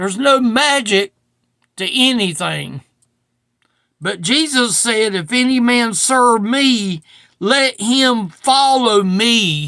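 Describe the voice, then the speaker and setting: A man projects a raised voice at an extremely high pitch in a bright, sharp tone with ordinary pitch variation. His pace is very slow, broken by long, frequent pauses. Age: 60s. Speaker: preacher. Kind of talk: sermon. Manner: casual.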